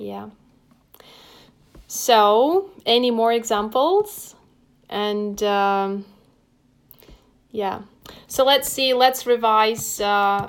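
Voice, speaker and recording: In a Russian accent, a woman speaks with a fairly high pitch and fairly even intonation. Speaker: English teacher. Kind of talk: live stream lesson. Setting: home desk with laptop.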